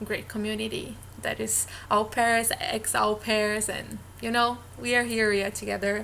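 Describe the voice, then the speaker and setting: A woman's fairly high voice at a fairly slow pace. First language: Portuguese. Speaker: vlogger, former au pair. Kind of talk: casual vlog talk. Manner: halting, with filler sounds.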